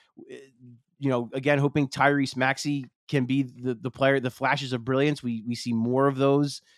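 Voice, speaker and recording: A man in an American accent, monotone and flat in intonation, with a dry, close sound and no echo. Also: big swings in loudness. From Philadelphia, US. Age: 30s. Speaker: sports journalist. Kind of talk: casual chat.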